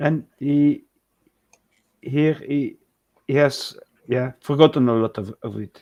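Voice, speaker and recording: A man with a Flemish accent, fairly high in pitch, dark and mellow in tone, with fairly even intonation, very slow, with long, frequent pauses. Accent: Belgian Dutch (Flemish) accent in English. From Belgium, Dutch and French speaking. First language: Dutch (also French). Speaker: live stream co-host. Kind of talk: casual chat. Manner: halting, searching for words.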